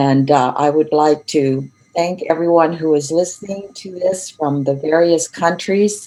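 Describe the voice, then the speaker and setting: A woman talks at a very slow pace in a very deep, low voice. Her pitch varies in an ordinary way. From Europe. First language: not English. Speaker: education researcher and learning consultant. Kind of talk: online lecture. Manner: deliberately slowed.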